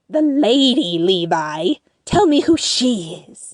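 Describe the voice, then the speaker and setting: Using a put-on character voice, a woman speaks at a high pitch with very wide pitch swings. Her pace is fairly slow. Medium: audio drama. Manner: doting, eager.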